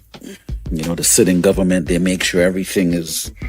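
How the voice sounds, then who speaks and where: A man's very deep, low voice moves at a moderate pace while music plays in the background. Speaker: radio host. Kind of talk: morning radio show host talking to audience. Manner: energetic, conversational.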